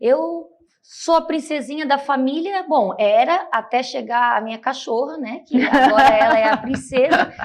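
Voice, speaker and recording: In a strong Santa Catarina accent, a woman with a high pitch speaks at a fairly slow pace with lively intonation. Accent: strong local Itajaí. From Brazil, Itajaí, Santa Catarina. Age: 30s. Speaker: city councillor and lawyer. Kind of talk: interview.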